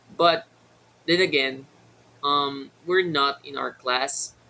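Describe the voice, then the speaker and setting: A man with a Filipino accent speaks at a very slow pace. His tone is bright and sharp, with ordinary pitch variation. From Philippines. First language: Tagalog. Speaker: vlogger. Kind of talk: casual vlog monologue. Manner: halting, many fillers.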